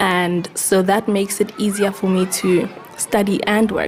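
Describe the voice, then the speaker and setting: A woman speaks slowly-ish, at a fairly slow pace, with a medium pitch and fairly even intonation. Noticeable background noise runs underneath. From South Africa, township. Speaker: student teacher. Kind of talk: interview; classroom teaching.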